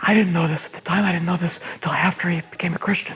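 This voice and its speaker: A man with a high pitch and monotone, flat intonation, music in the background. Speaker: church member. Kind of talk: testimony.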